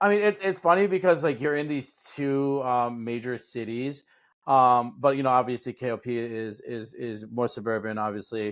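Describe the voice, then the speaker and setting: A man speaks at a moderate pace and medium pitch. His intonation is lively. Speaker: podcast host. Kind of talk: casual interview chat. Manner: hesitant with many fillers.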